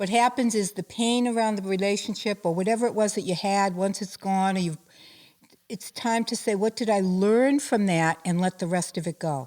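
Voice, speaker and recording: An unremarkable speaking voice with ordinary pitch variation at a moderate pace. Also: woman, medium pitch for a woman. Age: 60s. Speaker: spiritual life coach and healer. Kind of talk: interview.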